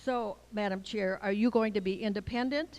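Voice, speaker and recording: A woman speaks in a plain, everyday voice, at a moderate pace and medium pitch, with ordinary pitch variation. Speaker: public commenter. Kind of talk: public comment. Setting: public meeting.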